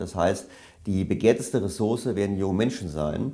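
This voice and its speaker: A man talks at a fairly quick pace in a dark, mellow tone. His pitch is fairly low, with ordinary pitch variation. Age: 50s. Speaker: economist and author. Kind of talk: interview. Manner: hesitant fillers.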